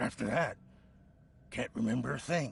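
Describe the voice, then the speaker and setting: A man's raspy, put-on character voice at a medium pitch and moderate pace. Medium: video game. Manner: defensive, agitated.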